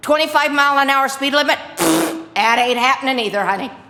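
A woman with a high pitch and an animated tone speaks at a moderate pace with lively intonation over noticeable background noise. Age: 70s. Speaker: resident speaking at public hearing. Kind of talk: public comment at hearing. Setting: city board meeting.

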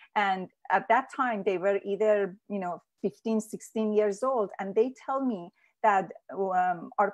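The speaker has a Persian accent and talks at a fairly slow pace. The intonation stays fairly even over a quiet background. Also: woman. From Iran. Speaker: peace activist. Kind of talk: interview. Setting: video call.

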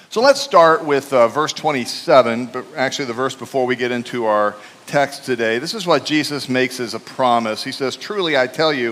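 A man talks at a moderate pace with hardly any pauses. His pitch varies in an ordinary way. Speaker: preacher. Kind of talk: sermon. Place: church. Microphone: headset.

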